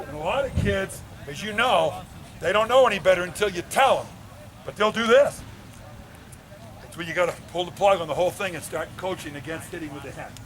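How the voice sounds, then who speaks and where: A man speaks fairly quickly in a high pitch with ordinary pitch variation and big swings in loudness. Long, frequent pauses and noticeable background noise fill the clip. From New England (Cape Cod area). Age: 60s. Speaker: football coach. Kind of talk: coaching clinic talk.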